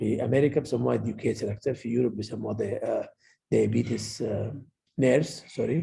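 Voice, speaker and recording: A man speaks with an Arabic accent. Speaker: medical lecturer, pediatric endocrinologist. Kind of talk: lecture. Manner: code-switching Arabic and English.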